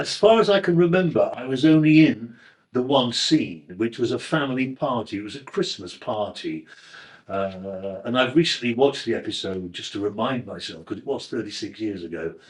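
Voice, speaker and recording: Over a quiet background, a man with a northern English accent speaks at a medium pitch and moderate pace, his loudness swinging widely. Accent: northern English, flat vowels and ringing g's. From northern England, Crewe in Cheshire. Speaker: actor. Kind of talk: interview reminiscence. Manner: halting, with fillers and self-corrections.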